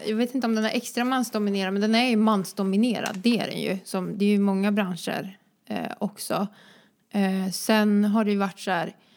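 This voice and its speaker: Monotone, flat intonation marks the woman's speech at a moderate pace. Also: medium pitch for a woman. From Sweden, Vänersborg (born in Croatia). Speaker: dancer and entrepreneur. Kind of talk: casual interview.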